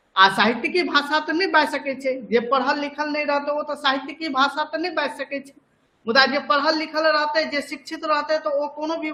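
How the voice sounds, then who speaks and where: A man speaks in an extremely high, raised and projected voice. His tone is bright and sharp. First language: Maithili (speaking Hindi). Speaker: teacher. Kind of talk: lecture. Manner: repetitive, conversational.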